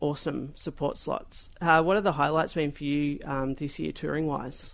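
A man with an Australian accent talks at a moderate pace. The recording is very clean and the background silent. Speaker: community radio host. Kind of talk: radio interview.

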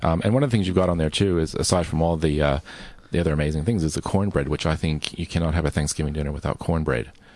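A man with an American accent and a very deep, low pitch talks very fast with ordinary pitch variation against a quiet background. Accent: American, slightly Australianised. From northern New Jersey, US. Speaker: radio host. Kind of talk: casual radio chat.

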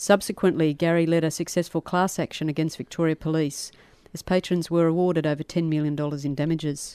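Against a quiet background, the speaker goes at a very fast pace with an Australian accent and monotone, flat intonation. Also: woman, very deep, low pitch for a woman. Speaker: community radio host. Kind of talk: interview. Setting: studio.

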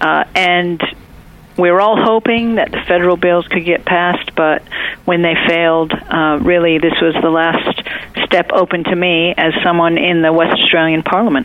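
A woman with an American accent, fairly low in pitch, fairly even in intonation and very even in loudness, at a moderate pace amid noticeable background noise. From United States. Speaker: state politician. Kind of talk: interview. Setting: phone call.

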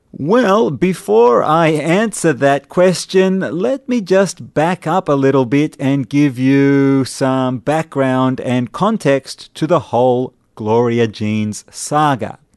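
A man with a fairly high pitch and lively intonation, at a very slow pace with hardly any pauses, in a dry, close sound with no echo. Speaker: radio host. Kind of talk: radio show host patter, scripted-sounding. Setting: radio studio broadcast. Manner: clear, measured, informative.

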